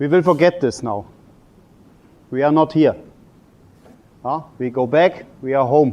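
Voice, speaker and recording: A man's fairly high voice at a fairly slow pace, with ordinary pitch variation and a non-native accent. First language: German. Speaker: table tennis coach. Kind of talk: lecture. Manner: halting.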